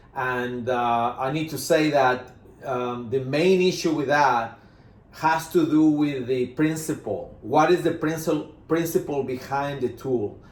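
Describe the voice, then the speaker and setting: Speaking with a strong Spanish accent, a man uses a fairly high pitch with ordinary variation at a fairly slow pace. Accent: Spanish accent, self-described as strong. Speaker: management consultant. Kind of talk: business presentation. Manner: halting, many fillers.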